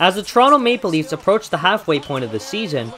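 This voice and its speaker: Against noticeable background noise, a man speaks in a high voice whose pitch swings very widely. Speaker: broadcast reporter. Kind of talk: sports news report.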